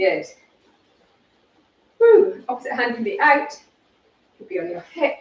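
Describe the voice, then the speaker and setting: A loud woman with a high voice speaks at a fairly slow pace, with very wide pitch swings and long, frequent pauses. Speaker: fitness instructor. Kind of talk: workout instruction. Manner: animated.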